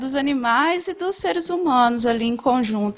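Amid noticeable background noise, a woman speaks at a high pitch and a moderate pace with very wide pitch swings. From Ribeirão Preto, São Paulo interior. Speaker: veterinarian. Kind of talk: casual chat.

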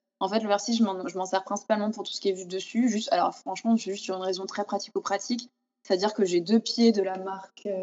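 A woman's medium-pitched voice, fairly even in intonation, at a very fast pace. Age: 30s. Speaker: food photographer and stylist. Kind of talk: interview. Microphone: sound problems in some passages.

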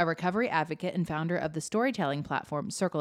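Lively intonation on a very clean recording with a silent background. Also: woman. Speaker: podcast co-host. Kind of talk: casual chat.

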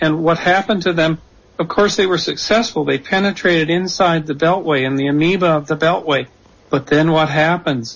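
Talking at a fairly quick pace, a man has a plain, everyday voice pitched fairly high. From Canada. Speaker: author of a political reform blueprint. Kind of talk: radio interview. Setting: remote call via Skype into radio studio.

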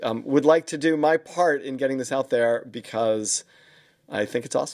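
A man with a New York accent, medium in pitch, with fairly even intonation. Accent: New York lilt. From US Northeast, New York. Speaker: podcast host, leadership consultant. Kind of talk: interview podcast. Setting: video call. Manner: halting, many fillers.

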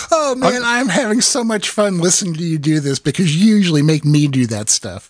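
An American accent carries this man's high pitch and very wide pitch swings at a fairly quick pace. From Iowa. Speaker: podcast host and homebrewing author. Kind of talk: casual chat.

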